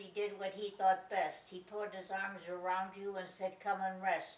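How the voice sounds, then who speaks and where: Fairly slow delivery against noticeable background noise. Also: woman. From Chicago, US Midwest. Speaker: grandmother interviewed for family documentary. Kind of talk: family interview reminiscence.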